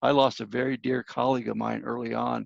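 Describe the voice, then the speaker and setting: A man speaks at a moderate pace. The sound is dry and close, with no echo. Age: 60s. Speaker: minister and grief counselor. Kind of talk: interview.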